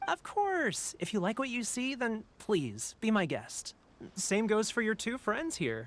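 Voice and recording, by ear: Using a put-on character voice, a man speaks at a high pitch and a fairly slow pace, with a fairly bright tone and big pitch swings.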